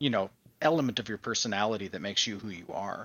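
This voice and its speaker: His voice sits at a medium pitch and varies in an ordinary way. The man has a normal speaking voice. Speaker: engineer, host's brother. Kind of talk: casual interview chat.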